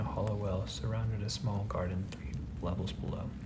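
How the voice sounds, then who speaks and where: Soft-spoken and whispering, a man talks at a moderate pace over noticeable background noise. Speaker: audiobook reader, ASMR narrator. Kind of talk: whispered fantasy book reading for sleep. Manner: soft-spoken, whispered.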